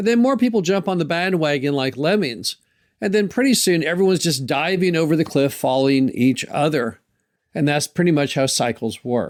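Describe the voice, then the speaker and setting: A man with an American accent and an unremarkable speaking voice talks at a moderate pace in a fairly high pitch. His intonation is lively, his loudness very even, and the recording very clean with a silent background. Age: 60s. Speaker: podcast host, mobile home park investor. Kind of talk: solo podcast monologue.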